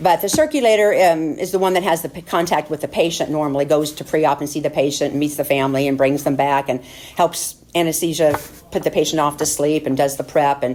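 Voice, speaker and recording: A woman speaks at a very fast pace with a very deep, low pitch and fairly even intonation. Noticeable background noise is present. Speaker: surgical nurse giving church mission report. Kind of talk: testimony. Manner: halting, many fillers.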